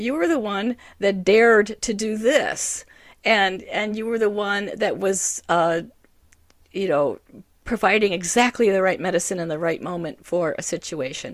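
Recorded very cleanly against a silent background, a woman talks at a medium pitch and a moderate pace with ordinary pitch variation. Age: 60s. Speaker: women's motivational speaker. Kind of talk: casual motivational talk. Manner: halting, many repetitions and fillers.

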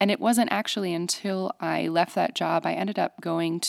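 A woman's fairly low voice with vocal fry and ordinary pitch variation, on a very clean recording with a silent background. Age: 20s. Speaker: financial coach. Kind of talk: casual chat. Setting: studio.

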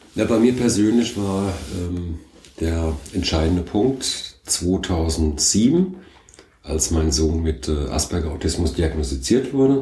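Audible room echo surrounds a man's somewhat breathy voice, which has a very deep, low pitch and a dark, mellow tone. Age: 50s. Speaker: company founder and managing director. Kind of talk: interview.

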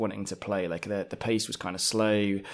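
In an English accent, a man speaks on a very clean recording with a silent background. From England. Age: 30s. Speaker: podcast game master. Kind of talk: casual interview.

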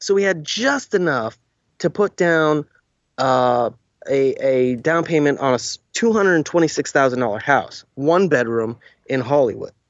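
A man with a normal speaking voice and fairly high pitch talks with lively intonation. His pace is moderate and his loudness very even. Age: 40s. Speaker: actor. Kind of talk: casual chat.

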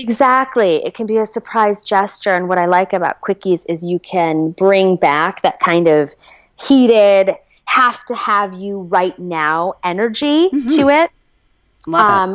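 This woman has a normal speaking voice, a medium pitch and an American accent. She talks at a fairly slow pace with lively intonation. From US Midwest, Chicago. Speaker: entrepreneur and intimacy coach. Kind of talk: interview.

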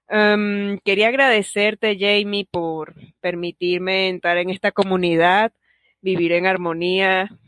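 The pace is very slow. A woman is talking, her intonation fairly even. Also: medium pitch for a woman. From Venezuela. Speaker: podcast listener. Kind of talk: recorded voice message. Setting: voice message recording.

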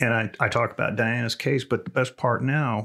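Someone with a Texan accent speaks at a moderate pace in a very clean recording with a silent background. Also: man. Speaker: retired police officer and TV analyst. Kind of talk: casual chat. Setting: studio.

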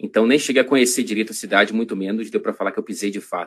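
This is a man's voice. He speaks with a Rio de Janeiro accent. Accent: Carioca Brazilian Portuguese. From Rio de Janeiro, Brazil. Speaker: journalist. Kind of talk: casual interview. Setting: video call.

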